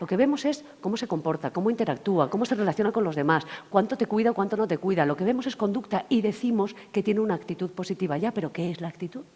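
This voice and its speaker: A woman with medium pitch speaks at a very fast pace in an animated tone with lively intonation. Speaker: workshop trainer. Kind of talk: lecture.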